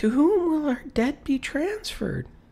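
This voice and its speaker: Someone uses a put-on character voice, high in pitch, at a moderate pace. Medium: read story. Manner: anxious, eager.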